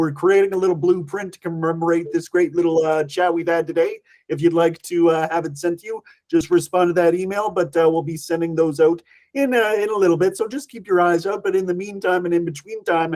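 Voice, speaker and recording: This man speaks with a Canadian accent at a fairly quick pace, his pitch high for a man. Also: fairly even intonation. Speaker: event host. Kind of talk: livestream interview sign-off.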